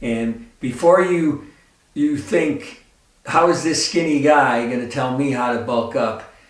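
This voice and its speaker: Audible room echo surrounds a man who speaks fairly slowly with a fairly high pitch and ordinary pitch variation. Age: 60s. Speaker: fitness YouTuber. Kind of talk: tutorial. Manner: casual, conversational with fillers.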